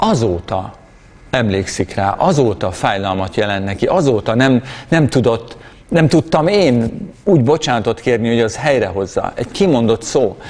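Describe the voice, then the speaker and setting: Lively intonation marks a man's moderate-paced speech in a plain, everyday voice. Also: medium pitch for a man, very even loudness. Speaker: preacher. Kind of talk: sermon.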